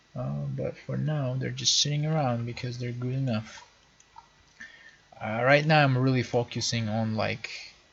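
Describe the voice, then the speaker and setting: Noticeable background noise can be heard. The talking moves at a moderate pace. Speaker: 3D modeling hobbyist. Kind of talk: screen-recorded work session monologue. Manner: casual with many fillers.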